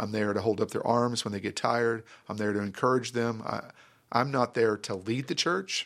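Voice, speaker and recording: With a Texan accent, a man speaks at a moderate pace and medium pitch with ordinary pitch variation. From North Texas (Grand Prairie). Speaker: pastor. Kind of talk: interview.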